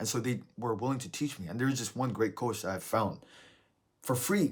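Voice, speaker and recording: On a very clean recording with a silent background, a man speaks at medium pitch with a somewhat breathy voice. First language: not English. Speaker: self-improvement vlogger. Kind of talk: motivational talk. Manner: casual, halting.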